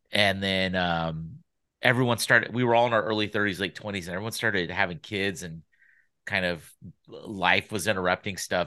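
Against a quiet background, a man with an American accent speaks at a moderate pace in a fairly low pitch, his tone bright and sharp and his pitch variation ordinary. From Sacramento, California. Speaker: podcast producer. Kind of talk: casual chat.

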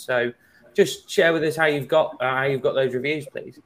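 A man with an English accent talks at a fairly quick pace with fairly even intonation. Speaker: webinar host, sales manager. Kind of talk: webinar moderation.

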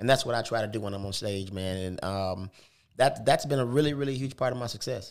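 A very fast pace and ordinary pitch variation on a very clean recording with a silent background. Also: man, medium pitch for a man. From US South, Tuscaloosa, Alabama. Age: 50s. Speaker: comedian. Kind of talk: casual chat.

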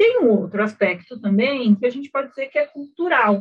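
Here is a woman with a normal speaking voice and fairly high pitch. She talks at a moderate pace. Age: 40s. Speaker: financial education expert. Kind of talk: casual chat.

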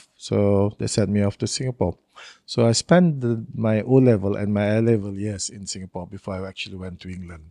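A man speaks at a fairly quick pace and fairly low pitch, in a dark, mellow tone. The sound is dry and close, with no echo. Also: big swings in loudness, quiet background. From Brunei. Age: 60s. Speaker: historian. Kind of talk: casual chat.

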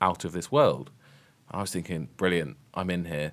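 A man with a British accent speaks in a very deep, low pitch. The recording is very clean, with a silent background. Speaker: podcast host, primary teacher. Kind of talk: casual discussion podcast.

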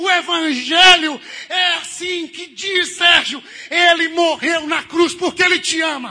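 A man's raised, projected voice at an extremely high pitch, fairly slow, with fairly even intonation. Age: 30s. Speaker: pastor. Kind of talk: sermon.

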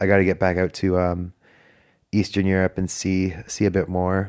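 A man's very deep voice with flat, monotone intonation, a Canadian accent and a fairly quick pace, on a very clean recording with a silent background. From Canada. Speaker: podcaster, backpacker farm worker. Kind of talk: casual solo monologue. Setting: hostel room.

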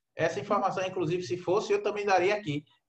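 A high-pitched man at a very fast pace. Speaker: football podcast host. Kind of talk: casual football chat.

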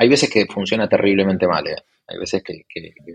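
The speaker is a man. His pitch is fairly low. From Argentina, Buenos Aires. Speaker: tech investor and entrepreneur. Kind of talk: casual interview. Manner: halting, many repetitions and fillers.

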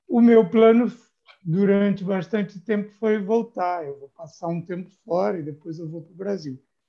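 Here a man talks in a high pitch at a moderate pace with ordinary pitch variation. His loudness swings widely. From Brazil, Rio de Janeiro. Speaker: B2B marketing agency founder and copywriter. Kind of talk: interview conversation. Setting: remote recording.

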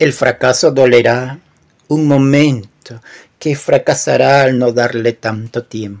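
A man's intonation stays fairly even as he speaks very slowly. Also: medium pitch for a man. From Peru. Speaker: poet. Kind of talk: poetry reading; casual chat.

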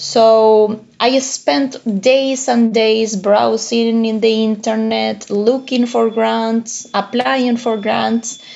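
A woman speaks with a Spanish accent at a fairly high pitch with fairly even intonation. Her pace is very slow, yet she leaves hardly any pauses. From Uruguay. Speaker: economics professor. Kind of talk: interview.

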